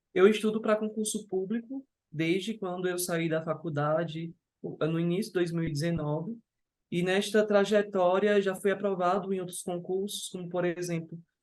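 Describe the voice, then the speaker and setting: A man talks at a moderate pace with a high pitch. His intonation stays fairly even. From Brazil, interior of Ceará. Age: 20s. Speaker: civil servant and lawyer, exam candidate. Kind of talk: interview. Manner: halting, with self-corrections.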